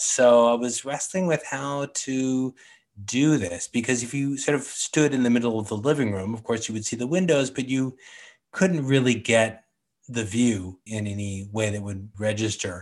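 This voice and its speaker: Against a quiet background, a man uses an ordinary speaking voice at medium pitch, with ordinary pitch variation and a moderate pace. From San Francisco, California. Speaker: artist, sketching group organizer. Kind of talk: casual interview.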